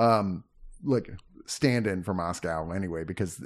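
A man speaks with a fairly low pitch, ordinary pitch variation and a moderate pace. It is an ordinary speaking voice against a quiet background. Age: 50s. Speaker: movie home-release reviewer. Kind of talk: casual chat.

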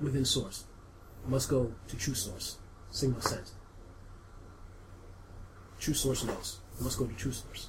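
A man's put-on, robotic character voice at a medium pitch, fairly slow pace and long, frequent pauses, over clear background noise. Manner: robotic, clipped, repeating.

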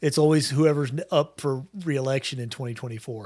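With an unremarkable speaking voice, a man talks at a fairly high pitch with ordinary pitch variation on a very clean recording with a silent background. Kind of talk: casual chat.

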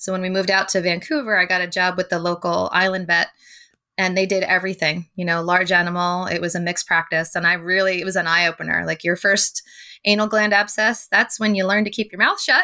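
On a very clean recording with a silent background, a woman with an American accent speaks at medium pitch and a very fast pace, in a bright, sharp tone with fairly even intonation. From Pennsylvania, US. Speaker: veterinary technician. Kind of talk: casual interview.

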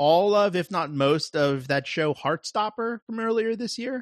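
The dry, close sound with no echo carries a man's lively intonation against a quiet background. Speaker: podcast co-host. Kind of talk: casual chat.

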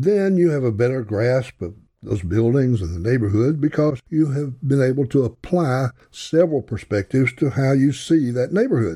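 A man with a Southern US accent speaks at a medium pitch in a dark, mellow, somewhat breathy tone. The recording is very clean, with a silent background. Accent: Southern US drawl. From US South. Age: 80s. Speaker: podcaster. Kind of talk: personal storytelling monologue. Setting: home recording alone at a mic.

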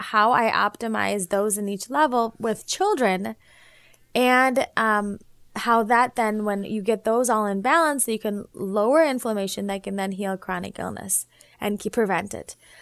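A woman's fairly high pitch with an American accent, fairly slow and with ordinary pitch variation, on a very clean recording with a silent background. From US Midwest, Naperville, Illinois. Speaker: physician and homeopath. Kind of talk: interview. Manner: animated.

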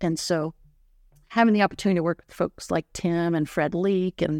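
In a very clean recording with a silent background, a woman speaks at a moderate pace with an American accent, a fairly low pitch, ordinary pitch variation and an unremarkable speaking voice. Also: dry, close sound with no echo. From US South, South Carolina. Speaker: animal science professor. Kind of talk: interview.

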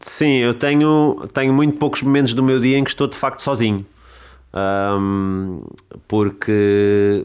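At a fairly slow pace, a man talks at a medium pitch with ordinary pitch variation on a very clean recording with a silent background. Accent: Lisbon. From Lisbon, Portugal. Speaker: chef and restaurant owner. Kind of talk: interview conversation. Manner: halting, many repeated words.

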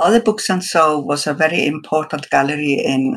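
A woman with a very deep, low pitch, lively intonation and a moderate pace. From Iceland. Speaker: artist. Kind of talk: interview.

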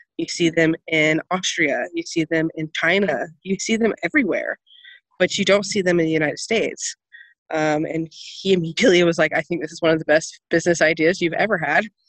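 A woman speaks in an ordinary speaking voice, fairly low in pitch, with fairly even intonation. The sound is dry and close, with no echo. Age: 20s. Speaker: zero waste shop owner. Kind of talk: interview.

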